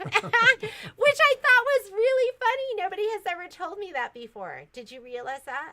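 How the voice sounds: A woman's extremely high, bright, sharp voice, raised and projected, with very wide pitch swings, big swings in loudness, a moderate pace and hardly any pauses.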